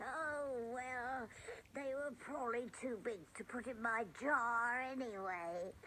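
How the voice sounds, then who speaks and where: A put-on character voice at a fairly high pitch moves at a fairly slow pace over clear background noise. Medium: audio drama. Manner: gentle, cheerful.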